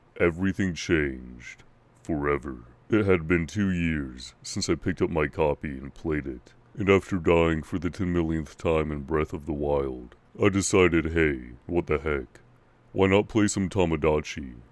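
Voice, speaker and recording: A man uses a put-on character voice. It is very deep and low, delivered at a moderate pace. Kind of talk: creepypasta horror narration. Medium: read story. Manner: mock-serious, casual.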